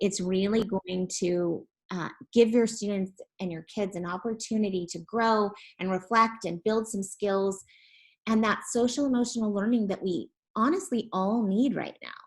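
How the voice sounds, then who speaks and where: At a moderate pace, a woman talks in a somewhat breathy voice at medium pitch with ordinary pitch variation. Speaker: education platform representative. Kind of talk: webinar presentation.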